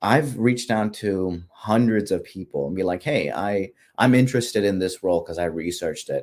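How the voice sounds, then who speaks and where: This man speaks at a moderate pace in a fairly low pitch. His pitch varies in an ordinary way. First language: not English. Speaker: pharmacist, postgraduate fellowship guest. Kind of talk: career advice interview. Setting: livestream.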